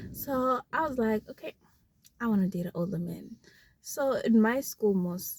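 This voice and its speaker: The voice has a dark, mellow tone, is somewhat breathy and moves at a fairly slow pace, with a dry, close sound with no echo. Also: woman. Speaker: vlogger. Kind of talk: casual chat.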